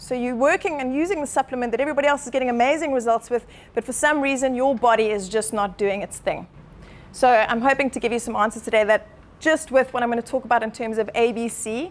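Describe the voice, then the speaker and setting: A woman speaks at a fairly quick pace in a high pitch, her tone passionate and her pitch variation ordinary. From Zimbabwe. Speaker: chiropractor. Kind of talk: talk to a live audience. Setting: meetup room with audience. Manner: fast, passionate.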